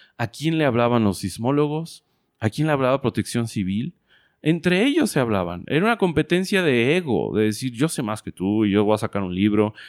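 Very wide pitch swings mark this fairly quick delivery in a Mexican accent. The sound is dry and close with no echo, on a very clean recording with a silent background. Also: man, medium pitch for a man. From Mexico, Guadalajara, Jalisco. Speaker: entrepreneur. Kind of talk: interview.

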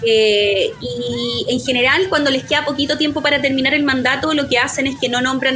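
A woman speaks at a high pitch with a Chilean accent. Her pitch variation is ordinary, and there is noticeable background noise. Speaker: lawyer. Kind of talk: casual chat.

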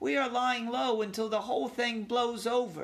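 Fairly high in pitch, the put-on character voice moves at a moderate pace. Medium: read story. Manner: friendly, chatty.

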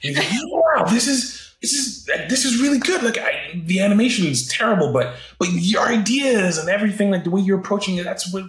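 A man's high-pitched, fairly quick talk with a slight North American accent, very wide pitch swings and hardly any pauses, amid noticeable background noise. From Britain, raised in several countries. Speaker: animator. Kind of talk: casual interview. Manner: casual, halting, with fillers.

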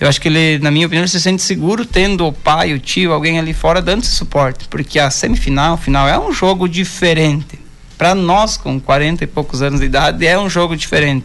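Amid audible room echo, the speaker talks at a fairly quick pace with hardly any pauses, ordinary pitch variation and very even loudness. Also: man, fairly high pitch for a man. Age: 40s. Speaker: amateur footballer. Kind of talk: radio interview. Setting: radio studio.

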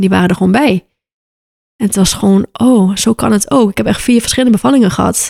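A woman speaks very fast in a dark, mellow tone with ordinary pitch variation, the sound dry and close with no echo. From Aruba. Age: 20s. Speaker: birth photographer. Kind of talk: casual interview.

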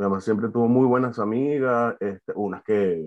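A man's intonation is lively, his pace moderate. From Venezuela, Valencia. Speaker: art student and graphic designer. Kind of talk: personal testimony. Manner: halting.

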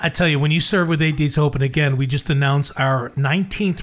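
A man with a fairly high, somewhat breathy voice talks fairly quickly and keeps his intonation fairly even. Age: 60s. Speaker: radio host. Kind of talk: casual chat.

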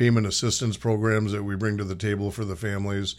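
In a very clean recording with a silent background, a man with an unremarkable speaking voice talks fairly quickly at a fairly low pitch with fairly even intonation. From Minnesota. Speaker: nonprofit executive. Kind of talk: radio interview. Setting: radio studio.

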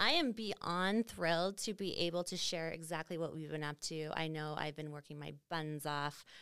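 Speaking at a moderate pace with a Canadian Prairie accent, a woman has a very deep, low pitch, captured in a very clean recording with a silent background. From Saskatchewan, Canada. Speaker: podcast host, marketing business owner. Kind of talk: casual chat.

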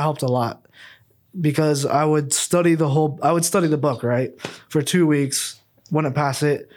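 In a very clean recording with a silent background, a man speaks with an American accent. He has a normal speaking voice, a fairly high pitch and fairly even intonation. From US Midwest, Ankeny, Iowa. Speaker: podcast co-host, real estate agent. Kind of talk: casual chat.

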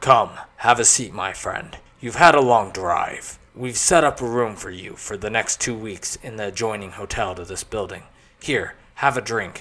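Using a put-on character voice, a man talks at a moderate pace and medium pitch, with ordinary pitch variation and big swings in loudness. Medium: read story. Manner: smooth, commanding, genial.

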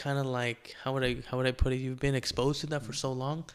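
A man's medium-pitched, monotone, flat delivery at a fairly quick pace, on a very clean recording with a silent background. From Oaxaca, Mexico. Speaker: pest control technician and father. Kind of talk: casual interview about childhood trauma.

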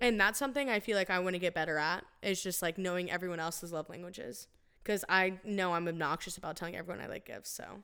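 Someone speaks at a very fast pace on a very clean recording with a silent background. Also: woman, medium pitch for a woman, ordinary pitch variation. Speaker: podcast co-host. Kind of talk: casual chat. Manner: talkative.

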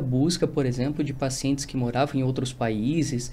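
Somewhat breathy and dark, mellow in tone, a man speaks at a moderate pace and a fairly high pitch. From Rio Grande do Sul, Brazil. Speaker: nutritionist. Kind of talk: casual interview.

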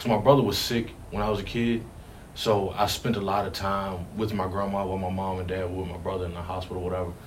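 Someone with an American accent talks at a very fast pace in fairly even intonation, with audible room echo and noticeable background noise. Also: man, fairly low pitch for a man. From Richmond, Virginia. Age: 20s. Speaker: firefighter. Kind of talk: interview.

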